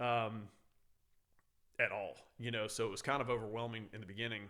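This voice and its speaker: A man with an American accent, medium-pitched, at a fairly quick pace. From San Francisco, California, then Louisiana. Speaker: firefighter. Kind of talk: casual chat. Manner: loud; animated.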